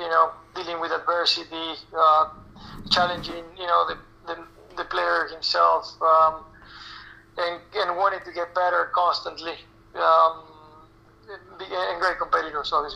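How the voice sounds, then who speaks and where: A man with a Spanish accent speaks at a fairly slow pace with long, frequent pauses. Noticeable background noise runs underneath. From Argentina. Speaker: national team tennis coach. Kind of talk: interview. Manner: halting, many fillers.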